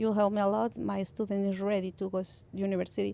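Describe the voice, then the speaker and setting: This woman has a Mexican accent and a medium pitch. Her tone is dark and mellow. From Mexico. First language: Spanish. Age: 30s. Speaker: parent educator. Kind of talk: radio interview. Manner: halting.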